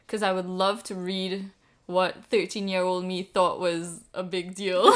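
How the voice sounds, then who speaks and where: A woman speaks in a Caribbean accent at a fairly slow pace. Her intonation stays monotone and flat. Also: medium pitch for a woman. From Trinidad and Tobago. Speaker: poet. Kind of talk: casual interview.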